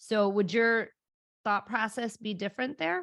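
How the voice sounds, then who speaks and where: The voice is raspy and moves at a moderate pace. The background is quiet. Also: woman. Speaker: podcast host. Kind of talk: interview conversation.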